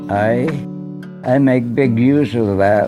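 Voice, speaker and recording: A man with a Canadian accent talks at a very slow pace and medium pitch, with lively intonation and music playing in the background. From Canada (Manitoba). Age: 80s+. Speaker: retired engineer, war veteran. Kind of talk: interview answer.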